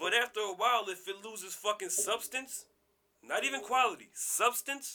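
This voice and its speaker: A man in a raised, projected voice sounds animated, his high-pitched delivery bright and sharp. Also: ordinary pitch variation, moderate pace. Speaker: podcast host. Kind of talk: casual chat.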